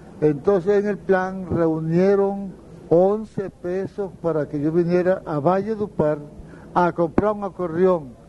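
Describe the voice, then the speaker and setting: A man with a high pitch and a dark, mellow tone speaks at a very slow pace. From Colombian Caribbean, Valledupar area. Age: old. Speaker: accordionist. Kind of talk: interview, storytelling. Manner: halting.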